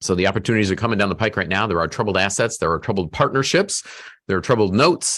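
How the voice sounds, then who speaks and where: A very fast pace with ordinary pitch variation and very even loudness. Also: man, fairly low pitch for a man. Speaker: self-storage investor presenting a webinar. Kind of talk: webinar presentation.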